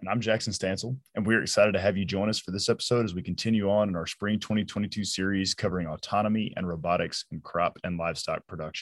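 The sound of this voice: The speech moves at a fast pace with few pauses and fairly even intonation. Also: man, low pitch for a man.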